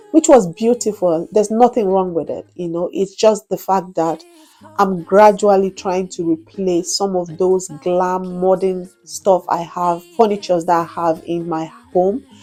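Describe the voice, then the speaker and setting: Music plays in the background as a woman speaks at a fairly slow pace, her medium pitch following a fairly even intonation. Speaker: home decor vlogger. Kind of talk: home tour narration. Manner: halting.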